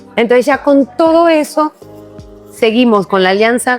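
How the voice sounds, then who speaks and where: Over music in the background, a woman talks at a moderate pace in a warm, upbeat tone with lively intonation. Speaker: podcast host. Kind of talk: podcast interview host talk.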